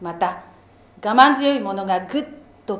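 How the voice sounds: Simply a natural reading voice.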